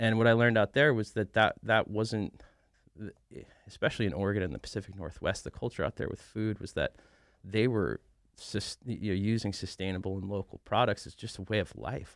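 With vocal fry and a fairly low pitch, a man talks at a fairly quick pace with ordinary pitch variation and big swings in loudness, in a very clean recording with a silent background and a dry, close sound with no echo. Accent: American. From upstate New York (Rhinebeck). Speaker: chef and restaurant owner. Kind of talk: interview.

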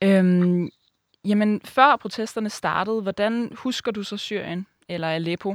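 Very slow speech with ordinary pitch variation on a very clean recording with a silent background. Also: woman, medium pitch for a woman. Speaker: student podcast host. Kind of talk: interview and scripted narration.

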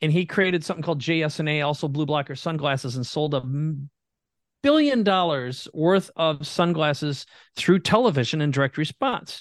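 The speaker has an Upper Midwest accent and ordinary pitch variation. The pace is moderate and the background is quiet. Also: man. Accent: Upper Midwest American. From Minnesota, US Midwest. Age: 50s. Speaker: entrepreneur. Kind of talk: interview.

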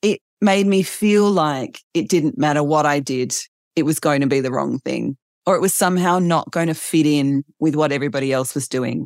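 Speaking at a moderate pace in an Australian accent, a woman with a very deep, low pitch shows ordinary pitch variation in a dry, close sound with no echo. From Australia, Adelaide. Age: 40s. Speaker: author and writer. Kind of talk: interview conversation.

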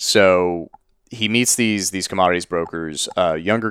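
On a very clean recording with a silent background and a dry, close sound with no echo, a man speaks at a very deep, low pitch with fairly even intonation. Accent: Texan. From Texas. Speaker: podcast co-host. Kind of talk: casual interview.

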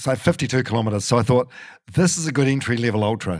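A man with a New Zealand accent, medium in pitch, ordinary pitch variation, a very fast pace. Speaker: radio broadcaster and podcaster. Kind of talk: casual chat. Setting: in a living room at home. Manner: halting, many fillers and repeats.

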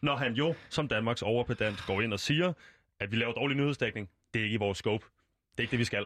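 Over a quiet background, a man at a medium pitch talks at a very fast pace with very even loudness. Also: ordinary pitch variation. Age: 20s. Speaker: radio presenter. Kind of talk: radio interview. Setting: studio.

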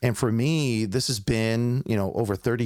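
A man with an unremarkable speaking voice talks in an American accent at medium pitch with ordinary pitch variation. The very clean recording has a silent background and a dry, close sound with no echo. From New York City. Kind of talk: interview about faith and ministry. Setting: home studio.

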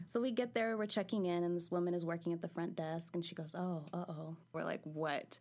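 At a fairly quick pace, a woman with a plain, everyday voice talks in a fairly low pitch with ordinary pitch variation. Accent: American. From California. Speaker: storyteller. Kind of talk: personal storytelling. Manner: casual, laughing.

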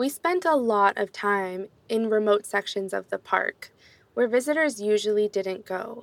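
A woman with an American accent has an ordinary speaking voice, fairly high in pitch with ordinary pitch variation. She speaks at a fairly slow pace, and the sound is dry and close with no echo. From US, New York City. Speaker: former park ranger intern. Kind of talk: storytelling narration. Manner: slow, simple.

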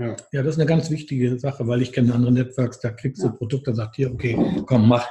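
Very fast speech comes from a man. His intonation is fairly even throughout. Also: medium pitch for a man. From northern Germany. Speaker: therapist trainer. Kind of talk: casual interview.

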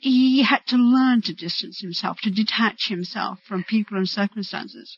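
A woman with an American accent speaks at a fairly high pitch and a moderate pace, somewhat breathy, with ordinary pitch variation. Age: 50s. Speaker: fan. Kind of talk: interview.

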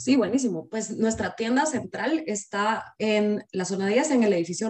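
Using a plain, everyday voice, a woman talks at a moderate pace with a medium pitch and lively intonation. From Guatemala. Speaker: company general manager. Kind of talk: interview.

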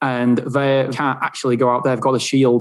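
With an English accent, a man at medium pitch talks at a very fast pace in a monotone, flat intonation. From England. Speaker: self storage business owner. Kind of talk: interview.

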